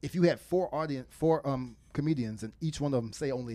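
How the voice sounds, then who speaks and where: Speaking at a moderate pace, a man uses a normal speaking voice with a fairly high pitch. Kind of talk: casual chat.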